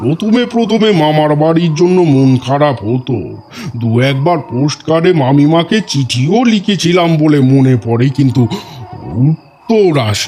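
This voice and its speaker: Speaking at a fairly slow pace, a man with a fairly high pitch uses lively intonation and keeps his loudness very even. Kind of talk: storytelling reminiscence. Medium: audio drama.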